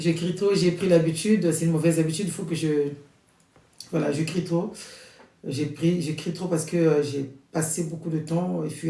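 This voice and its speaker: Audible room echo colors this recording. A man talks through it at a moderate pace. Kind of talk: prayer introduction before a novena rosary. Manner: loud.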